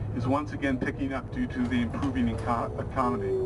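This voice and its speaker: Audible room echo and noticeable background noise fill the recording. A man with a medium pitch speaks at a fairly quick pace. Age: 60s. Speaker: tenant activist. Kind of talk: prepared statement at a rally. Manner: reading from prepared text.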